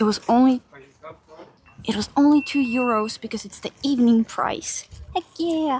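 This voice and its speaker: A soft-spoken woman with a high voice talks at a moderate pace, her pitch varying in an ordinary way, her loudness swinging widely, and her speech broken by long, frequent pauses. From Finland. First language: Finnish. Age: 20s. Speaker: streamer. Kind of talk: live stream chat. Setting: outdoors. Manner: murmuring.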